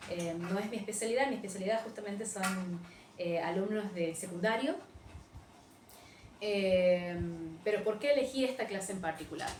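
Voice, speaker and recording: With audible room echo and noticeable background noise, a woman speaks with lively intonation. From Argentina, Frías, Santiago del Estero. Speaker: English teacher. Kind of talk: recorded teaching demo / lecture. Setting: virtual class recording without students. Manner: animated, fairly loud, high-energy; hesitant with many fillers (eh, em).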